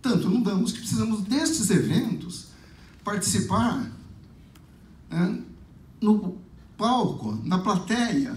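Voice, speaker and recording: A man talks at a very slow pace in a high voice, with long, frequent pauses. There is audible echo in the room. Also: ordinary pitch variation. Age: 60s. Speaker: lecturer. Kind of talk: lecture.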